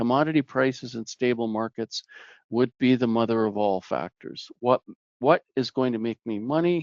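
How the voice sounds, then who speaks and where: A man with a Canadian Prairie accent, at medium pitch and a moderate pace, with ordinary pitch variation. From Canadian Prairies, Saskatchewan. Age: 60s. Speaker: plant pathologist, researcher. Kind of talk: webinar presentation. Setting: online webinar.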